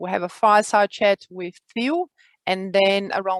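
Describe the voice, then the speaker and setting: Here a woman speaks at a medium pitch. Her pitch variation is ordinary. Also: dry, close sound with no echo. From Brazil. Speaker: community host and executive coach. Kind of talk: online meeting introduction. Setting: video call. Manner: hesitant, many fillers.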